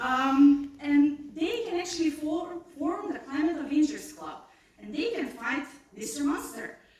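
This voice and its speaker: Audible room echo follows a woman's high-pitched voice at a fairly slow pace, with big swings in loudness. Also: ordinary pitch variation. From North Macedonia. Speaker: scientist. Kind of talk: pitch presentation.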